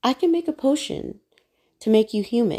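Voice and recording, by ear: A female-sounding, put-on character voice speaks high in pitch at a moderate pace. Hissing is audible.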